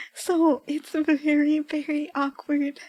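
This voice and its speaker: A soft-spoken voice with a dark, mellow tone. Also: woman. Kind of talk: casual chatting to stream viewers about her old writing.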